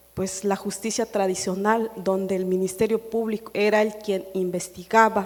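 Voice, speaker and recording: With a Chiapas accent, a woman talks at medium pitch in a monotone, flat intonation. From Chiapas, Mexico (Chilón, Tseltal community). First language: Tseltal (speaking Spanish). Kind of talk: panel discussion. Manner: halting, many fillers.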